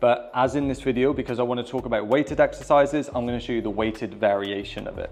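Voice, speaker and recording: With music in the background, a man with a British accent talks very fast in an energetic tone at a medium pitch. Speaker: personal trainer. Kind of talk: fitness tutorial. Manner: energetic, informal.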